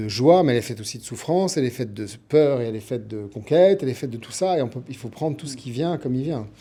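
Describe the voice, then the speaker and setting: With lively intonation, a man of medium pitch speaks in a dark, mellow tone. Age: 60s. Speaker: TV producer and writer. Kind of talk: radio interview. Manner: hesitant, many fillers.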